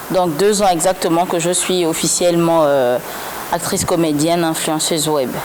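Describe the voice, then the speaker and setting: A woman speaks fairly slowly at a fairly low pitch, her intonation fairly even and loudness very even. Audible room echo and noticeable background noise are present. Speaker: comedian and web influencer. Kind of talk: interview.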